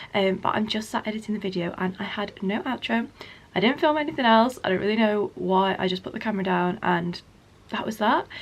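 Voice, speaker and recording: With an English accent, a woman speaks at a medium pitch. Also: ordinary pitch variation, fairly quick pace. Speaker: lifestyle vlogger. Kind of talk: vlog narration. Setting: at home. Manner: soft-spoken.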